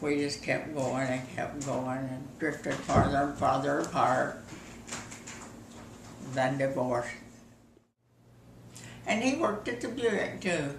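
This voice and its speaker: A woman speaks at a fairly slow pace with a very deep, low pitch. There are long, frequent pauses and noticeable background noise. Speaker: grandmother telling life stories. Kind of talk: casual reminiscing in an interview.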